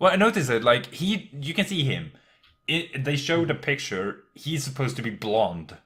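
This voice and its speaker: Speaking with a non-native accent, a man uses a fairly high pitch with very wide swings at a moderate pace. The recording is very clean, with a silent background. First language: not English. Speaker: anime podcast co-host. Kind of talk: casual chat. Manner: halting, many fillers.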